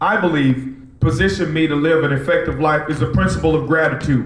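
Noticeable background noise sits behind a man with a fairly high pitch. He speaks at a moderate pace in an animated tone. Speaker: preacher. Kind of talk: sermon. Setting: church with live congregation. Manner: animated, call-and-response, rhythmic preaching that urges the congregation to shout; emphatic, repeating key lines for impact.

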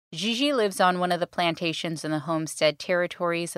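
A woman with a fairly low voice talks at a fairly quick pace with ordinary pitch variation. It is a plain, everyday voice on a very clean recording with a silent background. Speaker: podcast co-host. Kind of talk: casual podcast chat.

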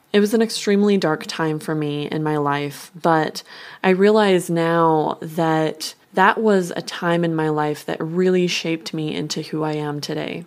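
Speaking fairly slowly with an American accent, a woman has a very deep, low pitch and fairly even intonation. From Northern Nevada, US. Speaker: podcast host and psychic medium. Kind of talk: personal monologue.

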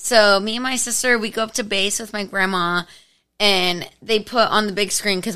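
A woman talks at a medium pitch and a moderate pace, her tone bright, sharp, animated and energetic. The recording is very clean, with a silent background. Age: 20s. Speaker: podcast guest. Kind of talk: casual chat, storytelling. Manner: animated, energetic, laughs often.

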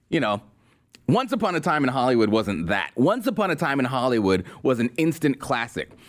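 Vocal fry runs through speech whose pitch swings very widely. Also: man. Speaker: political podcast host. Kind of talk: sarcastic rant and movie review with ad read. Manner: exasperated, fired-up, emphatic.

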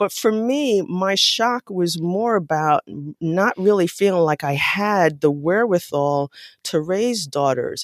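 Speaking with an American accent, a woman uses medium pitch and lively intonation at a fairly slow pace. It is an unremarkable speaking voice, with a dry, close sound and no echo. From US Northeast, New York City (South Bronx). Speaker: psychologist and parenting author. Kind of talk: interview.

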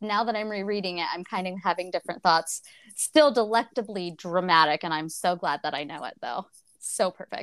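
A woman with an American accent speaks in a normal speaking voice, with lively intonation. The recording is very clean and dry, close with no echo, over a silent background. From United States. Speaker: book podcast co-host. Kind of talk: casual chat.

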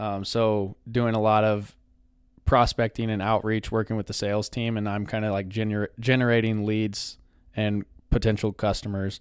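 With an American accent, a man speaks at a moderate pace in a fairly low pitch and monotone, flat intonation, on a very clean recording with a silent background. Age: 20s. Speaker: sales professional. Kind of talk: casual chat.

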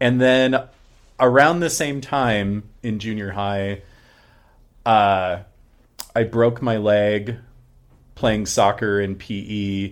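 Over a very clean recording with a silent background, a man with a fairly low pitch and an American accent speaks at a very slow pace, with ordinary pitch variation and long, frequent pauses. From Arizona. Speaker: artist, musician and drag performer. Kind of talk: casual interview chat.

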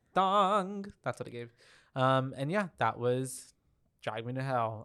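This is a very clean recording with a silent background. A man speaks at a fairly slow pace. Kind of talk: casual chat.

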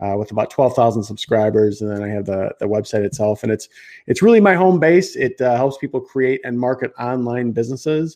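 A man with a slight Chicago accent, a dark, mellow tone, lively intonation and a fairly quick pace against a quiet background. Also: medium pitch for a man. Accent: slight Chicago Midwestern American. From Chicago, US Midwest. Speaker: marketing entrepreneur and online educator. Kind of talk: live-streamed interview chat. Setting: live video stream from a studio.

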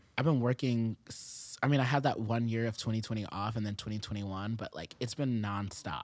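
An ordinary speaking voice from a man with an American accent, medium-pitched with ordinary pitch variation, at a fairly quick pace with hardly any pauses. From Japan and US military bases. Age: 20s. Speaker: rapper and singer. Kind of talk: casual chat. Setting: studio.

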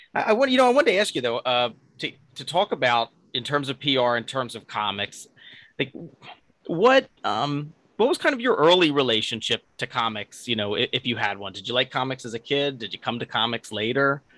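Someone with a Philadelphia accent talks at a fairly quick pace, the tone bright and sharp. The recording is very clean, with a silent background and a dry, close sound with no echo. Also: man, medium pitch for a man, lively intonation. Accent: Philadelphia-area. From Delaware County, near Philadelphia. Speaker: podcast interviewer. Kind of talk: interview.

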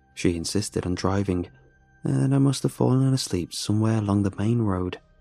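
With music in the background, a man of fairly low pitch speaks in a dramatic tone with lively intonation, the sound dry and close with no echo. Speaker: horror story narrator. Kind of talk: ghost story telling, first-person horror narration. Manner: hushed, tense, dramatic, with halting voices for characters.

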